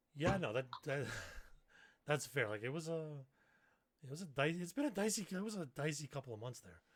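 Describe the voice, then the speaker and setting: A moderate pace broken by long, frequent pauses. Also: man. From Canada. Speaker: gaming streamer and podcast co-host. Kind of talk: casual chat.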